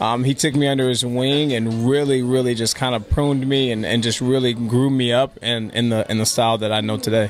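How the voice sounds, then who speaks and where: Over noticeable background noise, a man with a Californian accent and medium pitch talks at a fairly quick pace with hardly any pauses, keeping a very even loudness and a monotone, flat intonation. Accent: Californian American English. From Los Angeles, then North County San Diego from age 12. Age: 20s. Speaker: dancer. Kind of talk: interview. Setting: coffee house.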